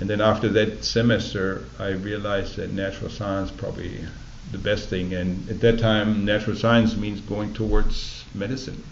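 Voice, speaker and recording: Over noticeable background noise and audible room echo, a man with a German accent speaks in a monotone, flat intonation. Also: fairly low pitch for a man, moderate pace. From Germany. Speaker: oral history interviewee. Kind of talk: oral history interview. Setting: library recording booth.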